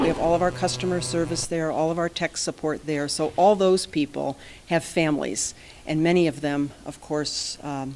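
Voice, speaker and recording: A woman's very deep, low voice at a moderate pace, with ordinary pitch variation and noticeable background noise. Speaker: company president addressing a school board. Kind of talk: formal presentation and apology to a board. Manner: quiet, soft-spoken. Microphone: too quiet.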